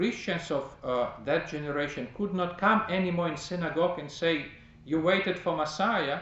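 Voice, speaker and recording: Spoken with a non-native accent at a fairly slow pace, the voice shows ordinary pitch variation against audible room echo. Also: man. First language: not English. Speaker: priest teaching a class. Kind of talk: lecture. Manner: halting.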